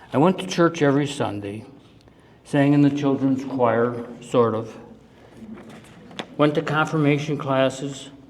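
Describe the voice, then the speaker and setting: Noticeable background noise accompanies a man talking fairly slowly at a medium pitch, with ordinary pitch variation. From US Midwest, Cleveland, Ohio. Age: 70s. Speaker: retiree giving life-story talk. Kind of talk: presentation to audience. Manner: emotional, halting.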